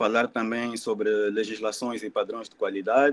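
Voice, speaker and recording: This is a man speaking with an Angolan accent. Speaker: environmental engineer. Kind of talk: presentation.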